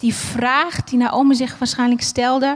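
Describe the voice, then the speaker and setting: A woman is speaking. Her pace is fairly slow. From Germany, Berlin. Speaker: preacher. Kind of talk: sermon. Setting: church with livestream.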